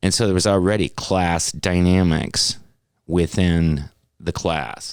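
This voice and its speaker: On a very clean recording with a silent background, a man with an American accent speaks at a very deep, low pitch, with very even loudness and a very slow pace. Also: ordinary pitch variation. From Wisconsin, US Midwest. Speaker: podcast co-host. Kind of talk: casual chat. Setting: studio.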